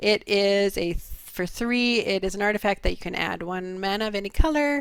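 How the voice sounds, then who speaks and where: A woman with a plain, everyday voice speaks at a medium pitch and moderate pace with ordinary pitch variation. The recording is very clean, its background silent. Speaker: card game show co-host. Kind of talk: casual chat.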